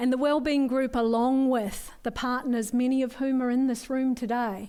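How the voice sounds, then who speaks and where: A woman's high voice with a slight New Zealand accent, dark and mellow in tone, flat and monotone in intonation, at a very even loudness. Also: moderate pace. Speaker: forum speaker, community wellbeing worker. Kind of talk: conference talk.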